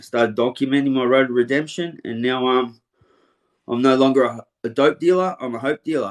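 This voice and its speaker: Fairly quick and fairly even in intonation, the speaker talks with an Australian accent. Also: man. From Australia, western suburbs of Melbourne. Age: 40s. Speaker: interviewer, motivational speaker, ex-offender. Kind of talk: casual interview.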